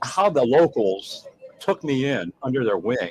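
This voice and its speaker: Speaking at a very slow pace in a New England accent, a man with a medium-pitched voice makes very wide pitch swings. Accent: Yankee. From US North. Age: 60s. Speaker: chef. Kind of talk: casual chat.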